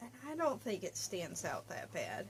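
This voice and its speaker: Quiet, mumbling speech. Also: woman. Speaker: crafting podcaster. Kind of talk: casual chat.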